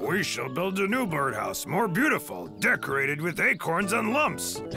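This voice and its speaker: Here is a cartoonish character voice at a moderate pace. Faint music sits in the background. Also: man, high pitch for a man. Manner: cheerful, fussy.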